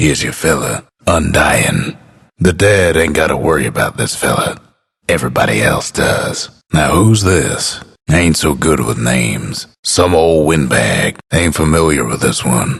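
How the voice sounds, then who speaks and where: A raspy, put-on character voice from a man, very deep and low in pitch, at a moderate pace. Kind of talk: video game announcer lines. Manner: drawling, laid-back.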